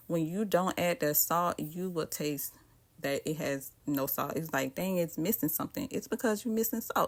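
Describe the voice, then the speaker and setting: A woman with a Southern US accent speaks at a moderate pace with lively intonation, recorded very cleanly against a silent background. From US South. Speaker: cooking vlogger. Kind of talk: cooking tutorial. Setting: home kitchen. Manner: casual, chatty.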